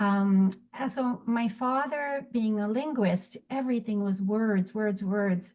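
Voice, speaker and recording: A woman speaks at a fairly slow pace with a French accent. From United States, with European upbringing at home. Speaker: spoken word artist. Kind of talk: interview. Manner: halting.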